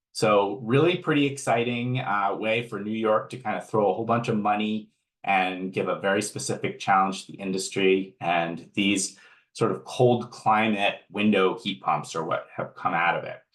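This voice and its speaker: In an unremarkable speaking voice, the speaker talks at a moderate pace with ordinary pitch variation. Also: man, fairly low pitch for a man. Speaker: energy efficiency program manager. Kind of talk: webinar presentation.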